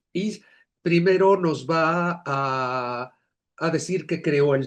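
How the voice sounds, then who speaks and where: A man's normal speaking voice, fairly high in pitch with ordinary pitch variation. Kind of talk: lecture.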